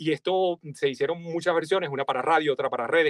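Against a quiet background, a man with a Venezuelan accent speaks at a very fast pace. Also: dry sound with no echo. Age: 40s. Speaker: voice-over artist. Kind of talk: interview. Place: studio. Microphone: studio mic.

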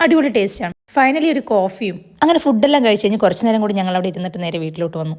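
Her voice sits at a medium pitch for a woman. It moves in very wide pitch swings. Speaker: family vlogger. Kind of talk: vlog narration.

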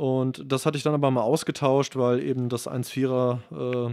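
This man has a medium-pitched voice and talks at a moderate pace with fairly even intonation. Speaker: video and gear technician. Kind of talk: casual chat. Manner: hesitant, many fillers.

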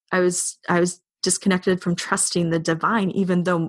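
A woman with a Canadian accent at a moderate pace, fairly even intonation and a dry, close sound with no echo. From Canada. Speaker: spiritual teacher and coach. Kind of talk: casual chat.

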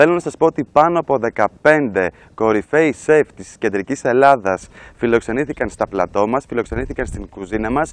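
The man's lively intonation and big swings in loudness come at a moderate pace, with dry sound and no echo. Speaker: TV cooking show host. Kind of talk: TV presenter address. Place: garden. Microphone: lapel.

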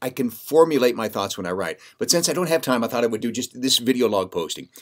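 A man speaks fairly quickly, and the background is quiet. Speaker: radio host. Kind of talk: casual vlog chat. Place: studio.

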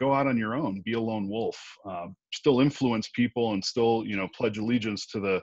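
This man has an ordinary speaking voice, pitched fairly low. He talks at a moderate pace, and the sound is dry with no echo. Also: quiet background. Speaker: remote interview guest. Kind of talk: interview answer. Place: home room. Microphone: earbuds.

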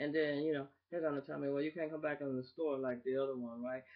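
The background stays quiet while a woman talks. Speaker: vlogger. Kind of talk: casual vlog rant. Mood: annoyed, opinionated. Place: home room. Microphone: webcam.

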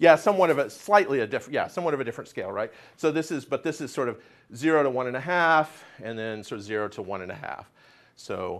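Vocal fry runs through speech delivered at a very fast pace, with very wide pitch swings and big swings in loudness. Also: man, fairly high pitch for a man. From US, Oklahoma City. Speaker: atmospheric science professor. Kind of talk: lecture. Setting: stage with audience. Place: classroom.

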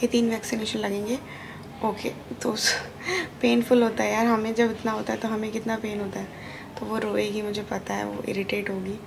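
Noticeable background noise runs under a woman speaking at a moderate pace. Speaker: new mother vlogger. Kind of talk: casual vlog chat. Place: home room. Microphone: phone near.

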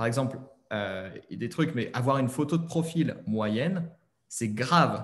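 A man's fairly high, somewhat breathy voice at a fairly slow pace, with ordinary pitch variation. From France. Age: 30s. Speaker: online French teacher; online French teacher, interview guest. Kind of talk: interview; interview answer. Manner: hesitant, many fillers. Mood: relaxed, chatty. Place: home room. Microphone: webcam.

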